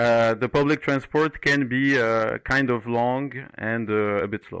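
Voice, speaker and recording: On a very clean recording with a silent background and a dry, close sound with no echo, a man with a Moroccan accent speaks at medium pitch with fairly even intonation. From Morocco. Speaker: 3D environment artist. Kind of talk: podcast interview. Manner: hesitant, many fillers.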